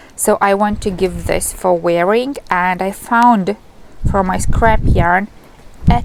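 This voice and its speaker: A woman with a Lithuanian accent at a very slow pace, amid noticeable background noise. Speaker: knitting vlogger. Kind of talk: casual vlog. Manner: halting.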